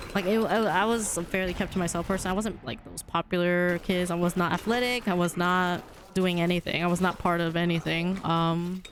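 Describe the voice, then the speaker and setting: With music playing in the background, a woman talks fairly quickly at a fairly low pitch, with fairly even intonation and hardly any pauses. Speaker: video game streamer. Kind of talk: casual chat. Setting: live stream. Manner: sounds aggressive.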